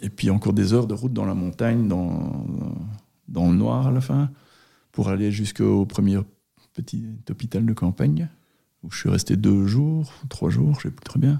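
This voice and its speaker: With long, frequent pauses, a man speaks at a fairly low pitch that swings very widely. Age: 40s. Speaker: former engineer and long-distance cyclist, accident survivor. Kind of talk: personal testimony interview. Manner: hesitant, with frequent repetitions.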